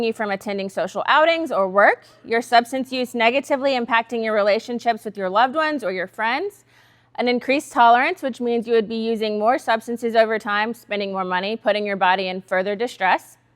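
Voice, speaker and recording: A woman talks at a fairly quick pace with a fairly high pitch. Her pitch variation is ordinary. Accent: American. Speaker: substance use counselor. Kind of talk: workshop talk. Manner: fast.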